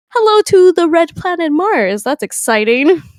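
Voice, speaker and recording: A woman's voice with very wide pitch swings in a dry, close sound with no echo. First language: Spanish. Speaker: podcast host. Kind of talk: casual chat.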